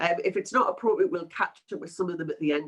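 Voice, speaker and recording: A woman is speaking. She has a Geordie accent. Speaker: PMO consultant and webinar presenter. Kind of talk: webinar presentation. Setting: online webinar, cameras off. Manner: casual, filler-heavy.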